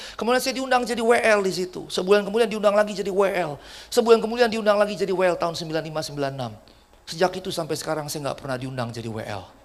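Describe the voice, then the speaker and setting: A man talks very fast in a high voice with an animated tone and lively intonation, and room echo can be heard. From Jakarta, Indonesia, of Batak descent. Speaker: pastor. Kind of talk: sermon.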